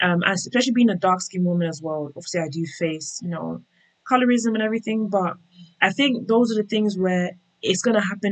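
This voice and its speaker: Speaking very fast, a woman uses ordinary pitch variation. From England, UK-born of Nigerian Yoruba parents. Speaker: tech worker sharing relocation experience. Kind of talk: interview conversation.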